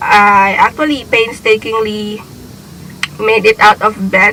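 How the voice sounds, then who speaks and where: A woman talks at a fairly slow pace with a fairly high pitch. Noticeable background noise can be heard. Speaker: beauty vlogger. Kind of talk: casual vlog intro.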